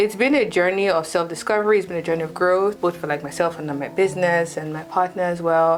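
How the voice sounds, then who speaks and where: With a Nigerian accent, a woman talks at a very fast pace with hardly any pauses. Her pitch is fairly low with ordinary variation, and noticeable background noise sits behind her. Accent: Nigerian accent, kept despite years in UK. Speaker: fashion designer and content creator. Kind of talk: interview.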